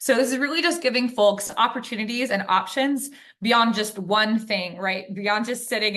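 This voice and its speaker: Audible room echo surrounds a woman whose bright, sharp tone moves at a moderate pace. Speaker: webinar presenter. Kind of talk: lecture. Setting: video call.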